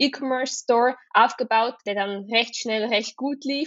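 A woman talks at a moderate pace with ordinary pitch variation. Her pitch sits fairly high. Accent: Swiss German. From Switzerland. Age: 20s. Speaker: entrepreneur, social media agency co-founder. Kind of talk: casual interview. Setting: remote recording.

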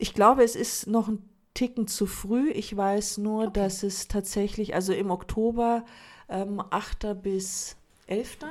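A woman's very slow, monotone, flat speech on a very clean recording with a silent background. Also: medium pitch for a woman. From Munich, Germany. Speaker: communication designer. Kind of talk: casual interview.

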